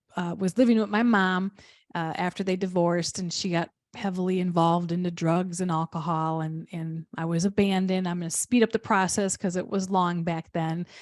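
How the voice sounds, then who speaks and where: A woman speaks at a fairly quick pace in a fairly low pitch. The recording is very clean with a silent background and a dry, close sound with no echo. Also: fairly even intonation. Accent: Midwestern. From Wisconsin, rural area south of Milwaukee. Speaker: business coach. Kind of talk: interview guest. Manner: very distinct vowels.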